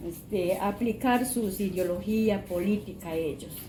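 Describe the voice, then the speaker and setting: A woman speaks very slowly at a medium pitch with ordinary pitch variation. Audible room echo surrounds her voice. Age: 60s. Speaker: interviewee. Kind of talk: testimony. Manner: halting.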